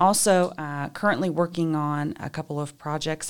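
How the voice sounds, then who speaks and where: Very deep, low female voice at a fairly quick pace, with ordinary pitch variation. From Kentucky, Richmond. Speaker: business professor. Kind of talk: interview.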